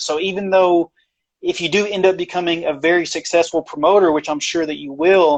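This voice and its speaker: A man with a plain, everyday voice, at a moderate pace and with fairly even intonation. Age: 30s. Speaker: interviewer. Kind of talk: interview.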